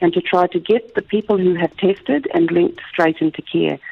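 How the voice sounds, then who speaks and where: Noticeable background noise accompanies speech delivered at a moderate tempo. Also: woman. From Australia. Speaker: project coordinator for a medical charity. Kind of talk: radio interview.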